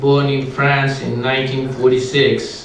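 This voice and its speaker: A man with fairly high pitch speaks at a very slow pace. Audible room echo and noticeable background noise surround the voice. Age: 50s. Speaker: cardiac surgeon introducing a speaker. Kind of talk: speaker introduction. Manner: halting, many fillers.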